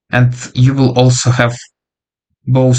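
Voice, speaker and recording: At a moderate pace, a man talks at a medium pitch. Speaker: freelance developer and online coach. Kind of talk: casual vlog monologue. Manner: hesitant with many fillers.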